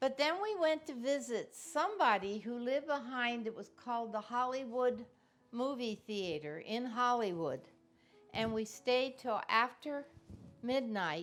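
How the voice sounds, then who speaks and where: A woman speaks in a high voice with lively intonation. Her pace is fairly slow, with music in the background. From Cincinnati, Ohio. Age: 80s+. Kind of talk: oral history interview answer.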